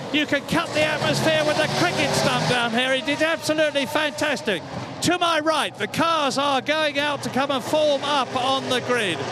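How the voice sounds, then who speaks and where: Over noticeable background noise, a man with an extremely high pitch projects an enthusiastic, raised voice at a moderate pace and very even loudness. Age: 80s+. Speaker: motorsport commentator. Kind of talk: live sports broadcast reporting. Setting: outdoors. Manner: enthusiastic, excitable.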